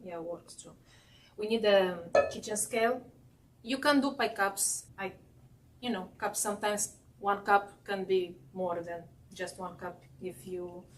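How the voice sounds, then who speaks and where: Speaking fairly slowly with a non-native accent, a woman uses a medium pitch and ordinary pitch variation, with big swings in loudness and long, frequent pauses. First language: not English. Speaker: baking instructor. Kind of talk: cooking demonstration. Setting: class with live audience. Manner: halting.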